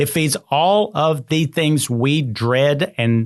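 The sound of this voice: Speaking slowly with lively intonation, a man with a fairly high voice comes through on a very clean recording with a silent background.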